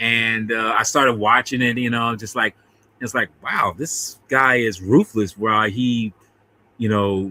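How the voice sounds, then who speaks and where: Slowish and fairly even in intonation, a man speaks at medium pitch in a dry, close sound with no echo. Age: 50s. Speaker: podcast host discussing films. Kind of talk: casual chat. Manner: halting, many fillers and restarts.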